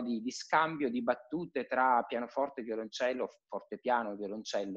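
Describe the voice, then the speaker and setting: With a quiet background behind him, a man's pitch varies in an ordinary way. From Piedmont, Italy. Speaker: cellist and conservatory teacher; conservatory teacher. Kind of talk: casual interview chat. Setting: live video call. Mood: relaxed reflective chat. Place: home room. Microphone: video call.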